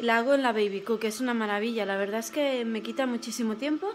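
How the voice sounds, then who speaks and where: A woman at a fairly quick pace, with ordinary pitch variation and light background noise. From Spain. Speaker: vlogger, mother; vlogger. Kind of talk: casual vlog narration. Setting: in a car.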